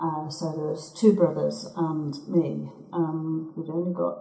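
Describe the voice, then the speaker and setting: Speaking very slowly with an English Midlands accent, a woman is heard amid noticeable background noise and audible room echo. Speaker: local resident. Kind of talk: oral history interview.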